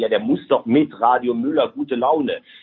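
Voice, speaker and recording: A man's normal speaking voice carries lively intonation and moves along at a moderate pace. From Rhineland, Germany.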